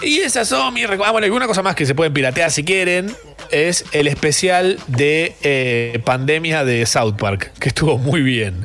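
Over music in the background, a man talks at a fairly slow pace with very wide pitch swings and very even loudness. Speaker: radio host. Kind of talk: casual chat. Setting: studio. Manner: slowed-down, relaxed pace; laughs often.

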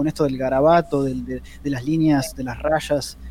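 A man speaks over noticeable background noise. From Argentina. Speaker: comics podcast co-host and comic artist. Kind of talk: casual chat.

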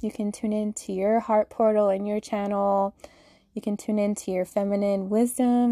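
A dark, mellow voice with an American accent speaks at a moderate pace against a quiet background, the sound dry and close with no echo. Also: woman. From Utah, US (Salt Lake City). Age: 20s. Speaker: spiritual podcast host. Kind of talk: personal monologue.

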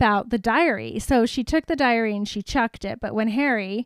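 This plain reading aloud has pitch that varies in an ordinary way.

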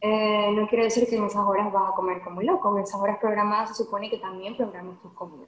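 A woman at a very fast pace with hardly any pauses, medium pitch, fairly even intonation and big swings in loudness. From Venezuela. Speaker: lawyer and nutrition coach. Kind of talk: podcast interview.

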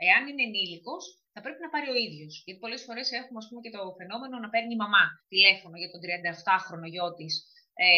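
With a plain, everyday voice, a woman at medium pitch talks at a fairly quick pace with lively intonation. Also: big swings in loudness. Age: 40s. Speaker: social worker. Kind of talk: interview.

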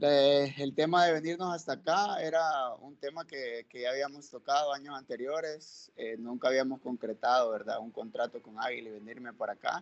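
A man with a Salvadoran accent speaks at a moderate pace, hardly pausing, his pitch fairly high with ordinary variation. His loudness swings widely. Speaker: professional footballer. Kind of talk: interview.

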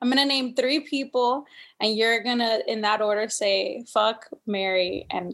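A woman speaks at a fairly slow pace. Her high pitch shows ordinary variation. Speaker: podcast co-host and comedian. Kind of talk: casual chat. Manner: animated.

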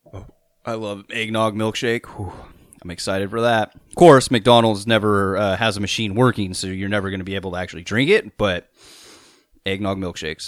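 In a very clean recording with a silent background, a man with a plain, everyday voice and fairly low pitch talks at a fairly quick pace. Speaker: podcast co-host, topic master. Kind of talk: casual banter chat.

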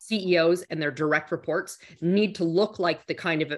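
In an ordinary speaking voice, a woman with fairly low pitch and ordinary pitch variation talks at a moderate pace on a very clean recording with a silent background. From Canada. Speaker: corporate executive. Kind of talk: interview.

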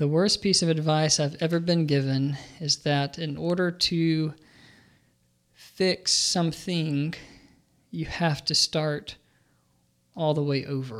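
In a very clean recording with a silent background, a man with a fairly high pitch speaks at a very slow pace with fairly even intonation and long, frequent pauses. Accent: Alabama. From US South, Birmingham, Alabama. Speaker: professor of religion. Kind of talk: interview. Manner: hesitant, many fillers.

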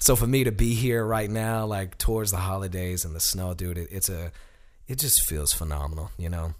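An American man speaks at a moderate pace in a fairly low voice with ordinary pitch variation. Room echo is audible. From US South, Alabama (Sheffield). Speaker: tap dancer. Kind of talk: casual chat.

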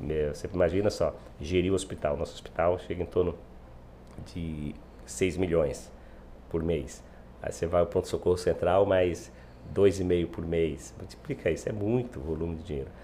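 A man's very deep, low voice with vocal fry and a dark, mellow tone, at a moderate pace with ordinary pitch variation and long, frequent pauses. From Bahia backlands, Brazilian Northeast. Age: 50s. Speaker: mayor and politician. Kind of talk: podcast interview.

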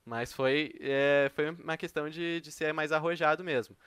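The speech comes at a fairly slow pace in a very clean recording with a silent background and a dry, close sound with no echo. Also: man. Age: 20s. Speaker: economics student and crypto trader. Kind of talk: interview. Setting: live stream. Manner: halting, many fillers.

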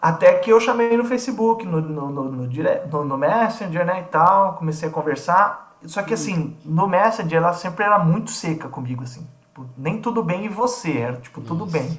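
A man speaks at a moderate pace with a high pitch and lively intonation. Noticeable background noise sits behind him. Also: hardly any pauses. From Brazil, São Paulo state interior. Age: 30s. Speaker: church worship musician. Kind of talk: casual chat. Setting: studio.

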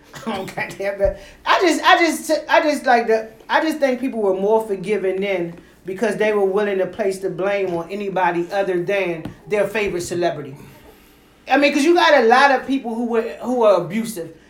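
Over noticeable background noise, a woman talks in an animated tone at a medium pitch. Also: moderate pace. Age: 40s. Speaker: podcast host. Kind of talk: casual chat.

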